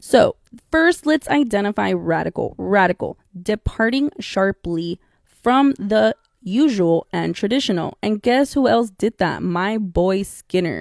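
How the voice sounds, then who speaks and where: Speaking fairly slowly with a Spanish accent, a woman uses lively intonation at a medium pitch in a dry, close sound with no echo. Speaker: podcast host, behavior analyst. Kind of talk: casual podcast monologue. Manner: casual, chatty.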